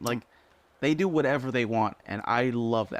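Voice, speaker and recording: An animated tone at a fairly quick pace, with ordinary pitch variation. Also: man. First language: Spanish. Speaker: rock band musician. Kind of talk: casual chat. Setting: radio studio.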